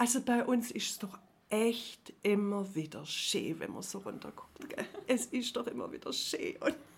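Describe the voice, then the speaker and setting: With vocal fry and very wide pitch swings, a woman speaks fairly slowly at a fairly high pitch. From Herrenberg, Swabia (southwest Germany). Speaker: former journalist. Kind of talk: casual interview. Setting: coworking space.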